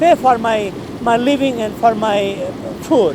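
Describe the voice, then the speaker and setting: This speech unfolds at a fairly slow pace. Behind it there is noticeable background noise. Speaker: school teacher. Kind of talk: personal life story, unscripted. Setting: filmed on camera in a hot room. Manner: halting, many fillers and repetitions.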